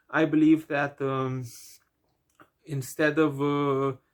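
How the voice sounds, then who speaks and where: Monotone, flat intonation at a fairly slow pace, in a Romanian accent. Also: man. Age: 20s. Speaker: book vlogger. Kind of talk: vlog monologue. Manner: hesitant, many fillers.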